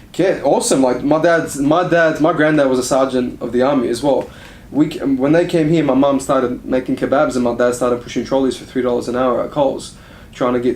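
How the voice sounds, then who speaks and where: A man's medium-pitched voice at a very fast pace, fairly even in intonation, over noticeable background noise. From Australia, moved from Iraq at age five. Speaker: strength and conditioning coach. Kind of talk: casual chat.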